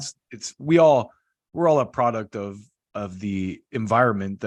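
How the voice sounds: This man has an ordinary speaking voice, medium in pitch, with lively intonation and big swings in loudness. He talks at a fairly slow pace, recorded with a dry, close sound and no echo.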